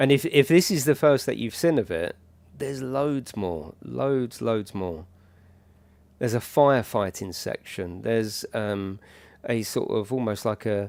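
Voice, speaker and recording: Lively intonation carries through a fairly slow delivery on a very clean recording with a silent background. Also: man, medium pitch for a man. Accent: British. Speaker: gaming streamer. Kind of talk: live gameplay commentary. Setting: livestream. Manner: casual, chatty.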